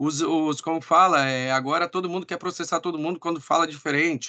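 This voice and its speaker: A man speaks in a plain, everyday voice. It is fairly high, with ordinary pitch variation. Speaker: sales team trainer. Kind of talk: online training meeting.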